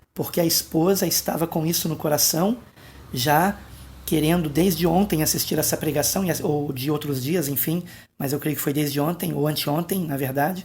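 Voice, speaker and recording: A soft-spoken man with fairly high pitch talks at a moderate pace with fairly even intonation. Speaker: pastor. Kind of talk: late-night video monologue on prophecy. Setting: at home at night, family asleep.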